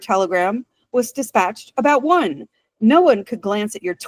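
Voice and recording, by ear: The background stays quiet while the text is read aloud in a natural voice.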